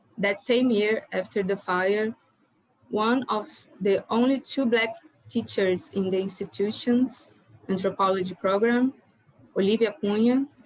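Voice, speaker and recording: In a Brazilian Portuguese accent, a woman speaks at a fairly slow pace with long, frequent pauses. Her fairly high, somewhat breathy voice has ordinary pitch variation and very even loudness. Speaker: doctoral student panelist. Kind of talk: conference presentation. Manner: halting.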